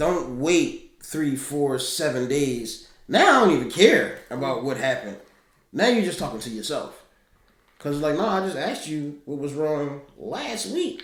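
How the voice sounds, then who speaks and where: Over audible room echo, a man with a fairly high pitch talks at a fairly slow pace with lively intonation. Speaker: podcast co-host. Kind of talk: casual chat. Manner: calm.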